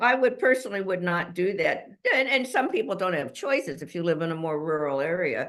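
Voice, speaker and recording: Her pace is very fast. The woman's pitch swings very widely. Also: medium pitch for a woman. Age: 80s+. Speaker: author. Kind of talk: interview.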